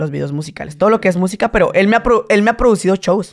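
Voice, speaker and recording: Fairly quick speech from a man, with ordinary pitch variation, over a quiet background. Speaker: comedian and content creator; comedian, content creator. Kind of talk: casual chat. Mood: relaxed, candid storytelling. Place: studio. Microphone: studio mic.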